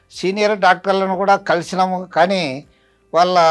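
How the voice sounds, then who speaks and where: A man's voice, high-pitched for him, comes over music in the background. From Andhra Pradesh, Nandyala. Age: 70s. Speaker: retired headmaster, patient. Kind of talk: testimony. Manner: halting.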